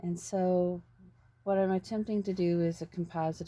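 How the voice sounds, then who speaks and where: Mumbling at a fairly slow pace, a woman speaks in a fairly low, dark, mellow voice with fairly even intonation. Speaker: painter. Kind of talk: painting tutorial. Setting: outdoors. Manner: halting.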